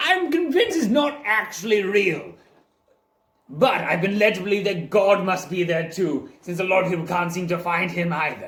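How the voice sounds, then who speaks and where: Using a put-on character voice, a man speaks at a moderate pace in a high pitch with a pompous tone. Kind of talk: improvised role play. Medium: role play. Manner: pompous, old-fashioned.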